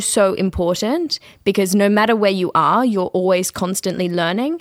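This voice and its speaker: A woman speaks at a moderate pace in a medium pitch. The recording is very clean, with a silent background. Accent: Australian. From Australia. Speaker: student teacher. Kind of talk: panel discussion.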